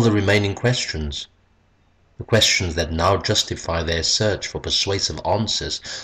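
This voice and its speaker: Somewhat breathy and very deep, a man's voice moves at a moderate pace with ordinary pitch variation in a very clean recording with a silent background. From South Africa. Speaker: poet, retired English teacher. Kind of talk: poetry reading.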